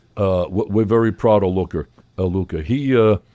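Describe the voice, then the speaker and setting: Dark and mellow in tone, a voice with a Brooklyn accent shows ordinary pitch variation in a dry, close sound with no echo. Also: man. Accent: New York (Brooklyn). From New York City (Brooklyn). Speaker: pizzeria owner. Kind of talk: interview. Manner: loud.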